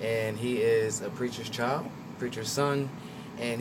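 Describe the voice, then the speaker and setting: A man with an American accent speaks fairly quickly with fairly even intonation, with audible room echo and noticeable background noise. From Trenton, New Jersey. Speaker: actor and visual artist. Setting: radio studio. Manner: reserved.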